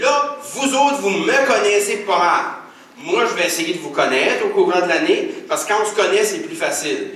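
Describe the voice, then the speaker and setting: At a moderate pace, a man speaks at extremely high pitch with very wide pitch swings, amid audible room echo and noticeable background noise. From northern New Brunswick, Acadia. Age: 40s. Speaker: teacher and conference speaker. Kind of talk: keynote lecture. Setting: auditorium with audience. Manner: animated, conversational with fillers.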